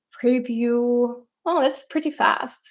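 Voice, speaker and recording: The speaker has a non-native accent. The pace is very slow. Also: woman. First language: not English. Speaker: product designer reviewing AI tools. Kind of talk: live-stream design review. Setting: live stream, screen sharing. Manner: hesitant, many fillers.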